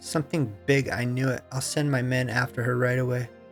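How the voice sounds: A man puts on a character voice at a medium pitch and a fairly quick pace. Clear music plays in the background, along with hissing.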